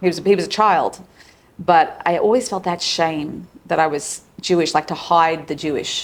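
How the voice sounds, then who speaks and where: This woman has an Australian accent and a fairly low voice. She talks at a moderate pace with fairly even intonation. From Australia, Sydney. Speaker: psychologist and relationship coach. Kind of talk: casual interview.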